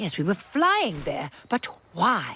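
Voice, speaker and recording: This is a cartoonish character voice. The pitch is fairly high. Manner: theatrical, dramatic.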